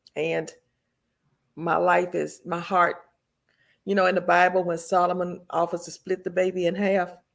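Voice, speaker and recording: A woman's fairly low, monotone voice with vocal fry, a Southern US accent, and long, frequent pauses. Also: moderate pace. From US South, Memphis, Tennessee. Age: 70s. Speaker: retired teacher, expat. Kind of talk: casual interview.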